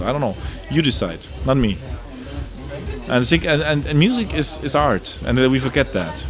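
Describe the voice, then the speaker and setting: With music in the background and audible room echo, a man with a German accent talks at a moderate pace. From Germany. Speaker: electronic music producer and DJ. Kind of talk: interview. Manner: animated.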